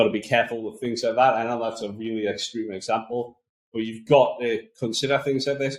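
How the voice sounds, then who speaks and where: A man talks with a strong Geordie accent at a fairly quick pace. His medium pitch keeps a fairly even intonation. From northeast England, Newcastle area. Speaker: podcast host, marketing agency. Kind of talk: podcast monologue, business tips. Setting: small office room.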